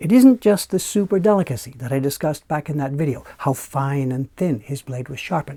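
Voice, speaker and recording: Lively intonation from a man with a fairly high pitch, a somewhat breathy, dark, mellow tone and a fairly quick pace. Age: 60s. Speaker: woodblock printmaker. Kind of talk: talking-to-camera monologue. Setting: small room in his building. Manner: relaxed, conversational.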